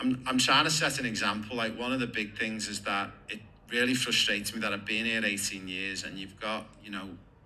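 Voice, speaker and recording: Amid audible room echo, a man with a fairly low pitch speaks at a fairly quick pace with fairly even intonation. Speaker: football coach and player agent. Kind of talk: interview.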